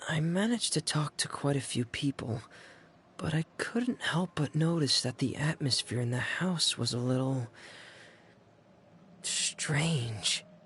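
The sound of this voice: In a put-on character voice, a man speaks slowly at a fairly high pitch, with lively intonation, a husky, rough edge and a fairly bright tone.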